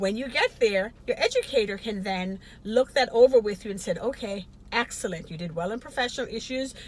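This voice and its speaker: Over noticeable background noise, a woman talks at a fairly quick pace with a fairly high pitch and ordinary pitch variation. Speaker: nursing educator. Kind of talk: educational talk to camera.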